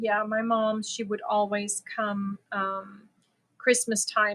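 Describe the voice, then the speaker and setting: A woman with a fairly high pitch and a bright, sharp tone speaks very slowly in a monotone, flat intonation. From Germany. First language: German. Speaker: crochet livestreamer. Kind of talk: casual chat. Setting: live stream.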